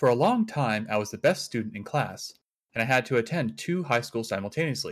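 A somewhat breathy man at a medium pitch, talking fairly quickly with very wide pitch swings, on a very clean recording with a silent background. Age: 20s. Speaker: caller. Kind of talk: reading aloud.

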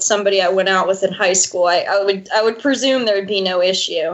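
This woman has an unremarkable speaking voice, talking at a fairly quick pace with ordinary pitch variation. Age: young. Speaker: caller. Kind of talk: personal advice call.

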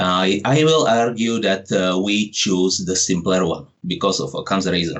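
A man's fairly low voice at a moderate pace, ordinary pitch variation, hardly any pauses. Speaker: caller. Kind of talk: argument about God. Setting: phone call. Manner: halting.

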